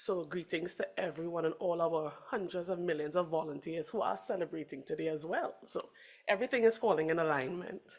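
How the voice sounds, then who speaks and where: This speaker talks at a fairly quick pace in a Trinidadian accent, with ordinary pitch variation. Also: woman, fairly low pitch for a woman. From Trinidad and Tobago. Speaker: Red Cross representative. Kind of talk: conference remarks.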